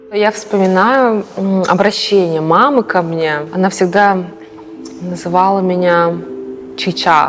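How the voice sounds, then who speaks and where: A woman with a Yakutian accent speaks at a very slow pace with long, frequent pauses, medium pitch, ordinary pitch variation and very even loudness, over noticeable background noise. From Yakutia, Russia. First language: Yakut (speaking Russian). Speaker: performance artist. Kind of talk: documentary interview.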